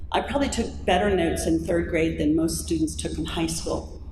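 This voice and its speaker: A woman speaks at a moderate pace with audible room echo and noticeable background noise around her. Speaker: pro-life speaker. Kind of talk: talk to audience; testimony. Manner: conversational.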